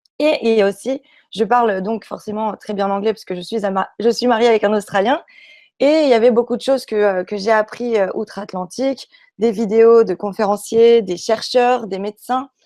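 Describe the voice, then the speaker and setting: Her tone dark and mellow, a woman speaks at a fairly high pitch and moderate pace, with ordinary pitch variation and big swings in loudness. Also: dry, close sound with no echo. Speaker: YouTube channel creator on spirituality. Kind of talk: talk show interview. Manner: hesitant, many fillers.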